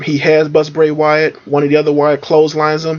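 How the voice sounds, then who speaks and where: A man speaks at a very fast pace with a fairly high pitch. His intonation is monotone and flat. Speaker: wrestling reviewer. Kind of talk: casual review monologue. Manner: filler-heavy, halting.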